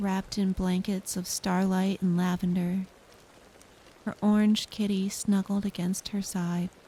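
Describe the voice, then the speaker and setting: A soft-spoken woman's gentle, somewhat breathy voice, dark and mellow in tone, at a medium pitch with monotone, flat intonation and a fairly slow pace. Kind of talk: sleep story. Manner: soft-spoken, slow, gentle.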